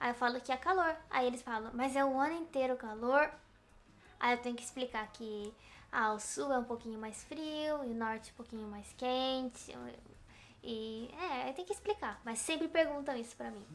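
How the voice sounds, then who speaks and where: A high-pitched woman's voice at a moderate pace, with ordinary pitch variation and big swings in loudness. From Brazil, countryside. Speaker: video blogger. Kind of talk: casual chat.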